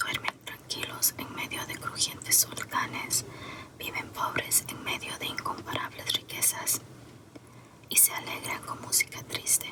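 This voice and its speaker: Whispering at a moderate pace, a woman comes through over noticeable background noise. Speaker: ASMR creator. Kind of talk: ASMR book reading. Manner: whispered.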